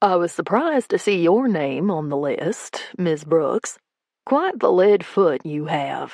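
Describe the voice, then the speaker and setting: Putting on a character voice, a woman drawls at a fairly slow pace with a medium pitch and lively intonation. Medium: read story. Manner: low drawl.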